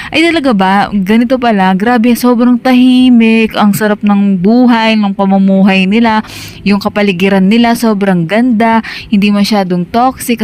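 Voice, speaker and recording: A woman talks at a moderate pace and medium pitch over noticeable background noise. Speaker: travel vlogger. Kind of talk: casual vlog talk. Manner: animated.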